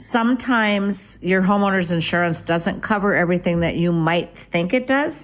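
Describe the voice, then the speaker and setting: In a normal speaking voice, a woman with an American accent speaks at a moderate pace and medium pitch, with very even loudness, ordinary pitch variation and hardly any pauses, on a very clean recording with a silent background. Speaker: real estate agent. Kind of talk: radio talk show.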